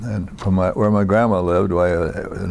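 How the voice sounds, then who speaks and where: Here a man speaks with an American accent at a moderate pace. His fairly low voice stays monotone, with flat intonation. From US Midwest, Iowa. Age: 80s+. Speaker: war veteran. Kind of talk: oral history interview. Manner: halting, many fillers.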